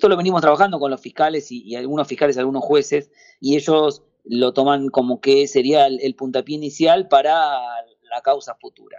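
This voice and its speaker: Moving at a fairly quick pace, a man talks in a fairly high pitch with ordinary pitch variation. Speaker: president of a road safety NGO. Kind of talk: radio interview. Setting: phone call. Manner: halting, many repetitions.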